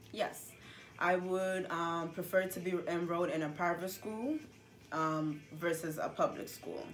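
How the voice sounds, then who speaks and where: Here a woman speaks at a fairly slow pace with a fairly low pitch and fairly even intonation. Audible room echo surrounds her voice. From Gambia. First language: Gambian languages. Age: 20s. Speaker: interviewee. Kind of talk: interview. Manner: halting, many fillers.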